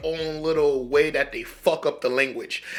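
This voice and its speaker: A fairly slow delivery in a Haitian accent. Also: man. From US, urban community, Haitian family. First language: Haitian Creole. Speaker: reaction video creator. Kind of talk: casual commentary. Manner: halting, repetitive stammering.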